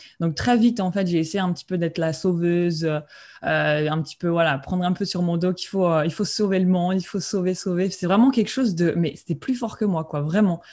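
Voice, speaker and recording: On a very clean recording with a silent background, a woman talks at a fairly quick pace in a dark, mellow tone, her pitch fairly low with ordinary variation. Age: 20s. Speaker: spiritual coach and medium. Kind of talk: interview. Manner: halting.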